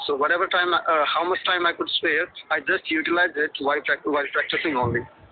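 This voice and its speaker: Over noticeable background noise, a man with an Indian accent talks at a very fast pace. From Haryana, northern India. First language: Hindi. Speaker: office worker, English learner. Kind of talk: interview. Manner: fluent, confident.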